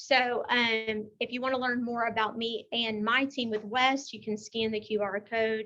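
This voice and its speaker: A woman with a Texan accent and a fairly high, bright, sharp voice speaks at a fairly slow pace. Her intonation is monotone and flat, with hardly any pauses. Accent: Texas country. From Texas, Beaumont. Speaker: technology consultant and class presenter. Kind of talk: presentation.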